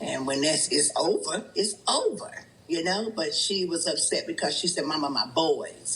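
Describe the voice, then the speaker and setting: Fairly slow speech from a woman, noticeable background noise behind it. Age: 60s. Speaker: family elder, special guest. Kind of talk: casual chat.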